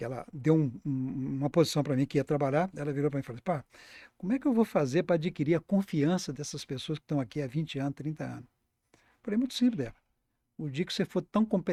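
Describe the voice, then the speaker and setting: This man talks at a very fast pace with a fairly high pitch and lively intonation. The recording is very clean, with a silent background. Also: dry, close sound with no echo. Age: 70s. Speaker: accountant and business founder. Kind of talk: podcast interview. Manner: halting, with frequent repetitions.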